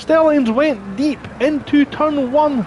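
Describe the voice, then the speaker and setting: Noticeable background noise runs under a man speaking at an extremely high pitch with fairly even intonation. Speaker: sim racing commentator. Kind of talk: live commentary.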